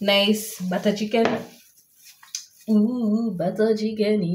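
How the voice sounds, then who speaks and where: A woman at medium pitch, very slow and monotone with flat intonation, amid noticeable background noise and audible room echo. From Uganda. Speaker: cooking vlogger. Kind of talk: casual vlog tutorial. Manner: playful, chatty.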